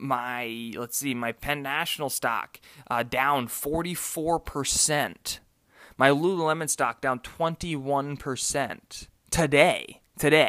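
On a very clean recording with a silent background, a man with an American accent speaks very slowly in a fairly high voice with a bright, sharp tone. The sound is dry and close with no echo, and his pitch varies in an ordinary way. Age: 20s. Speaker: podcaster. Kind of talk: solo diary podcast. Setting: at home. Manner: halting, many fillers and repeats.

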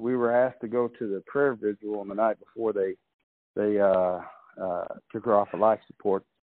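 A man talks in a plain, everyday voice, fairly low in pitch, at a moderate pace with fairly even intonation. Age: 50s. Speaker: comedian and entertainer. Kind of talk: casual interview. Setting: phone call.

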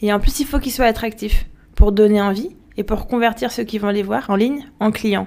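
The woman's voice is fairly high, and she talks at a moderate pace. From France and Algeria (Paris and Algiers). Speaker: startup founder. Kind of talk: interview. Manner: hesitant, many fillers.

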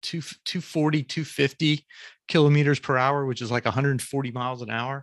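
With an American accent and fairly even intonation, a man talks in a dry, close sound with no echo. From US South, Jacksonville, Florida. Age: 50s. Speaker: photographer and author. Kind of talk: casual interview. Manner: halting, many fillers and repeats.

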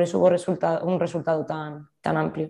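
A woman speaks at a fairly quick pace in a fairly low, dark, mellow voice. Her intonation is monotone and flat, with vocal fry. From Spain, Zaragoza. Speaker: futsal player. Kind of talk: interview.

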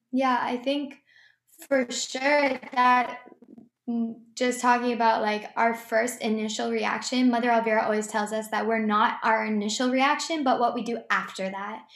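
In a room with audible echo, a woman with an American accent and a fairly high pitch talks at a moderate pace with fairly even intonation. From US Northeast (Boston area). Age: 20s. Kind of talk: interview, personal testimony.

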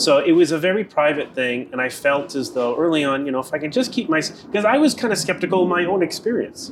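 A man's high voice with an American accent, very fast with hardly any pauses and very wide pitch swings over noticeable background noise. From US East Coast, Boston. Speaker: Taoist priest and teacher. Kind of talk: casual interview chat.

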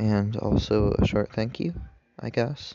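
Soft-spoken, a man talks with a fairly low pitch. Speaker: podcast host. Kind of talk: casual podcast monologue. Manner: quiet, soft-spoken. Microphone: sounds muffled.

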